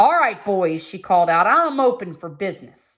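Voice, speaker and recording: Over a very clean recording with a silent background, a woman does a put-on character voice at medium pitch and a moderate pace, with very wide pitch swings. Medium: read story. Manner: firm, calm.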